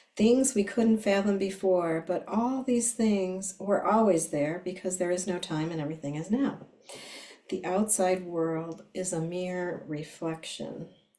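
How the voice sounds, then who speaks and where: Noticeable background noise sits behind a woman speaking at a fairly slow pace. Her pitch is medium, with ordinary variation. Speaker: astrology and divination reader. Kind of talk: spiritual reading monologue. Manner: hesitant, with fillers.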